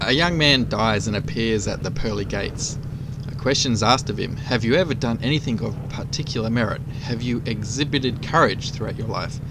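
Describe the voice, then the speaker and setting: A man with an Australian accent speaks at medium pitch with ordinary pitch variation. Noticeable background noise can be heard. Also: fairly quick pace. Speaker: motorcycle rider, DIY channel host. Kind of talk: casual joke telling to camera while riding. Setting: outdoors, on a motorcycle.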